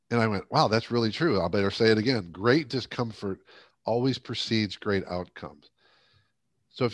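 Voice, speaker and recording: Over a quiet background, a man with an American accent and medium pitch speaks at a very fast pace. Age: 60s. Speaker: leadership coach and speaker. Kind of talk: interview conversation.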